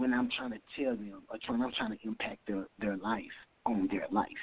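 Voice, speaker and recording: A man's lively intonation rides on a moderate pace. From US inner city. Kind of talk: testimony.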